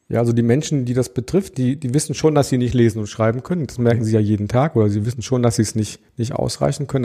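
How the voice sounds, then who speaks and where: On a very clean recording with a silent background, a man with a dark, mellow tone and medium pitch speaks at a very fast pace, hardly pausing and varying his pitch in an ordinary way. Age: 40s. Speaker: adult education project worker. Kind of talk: interview.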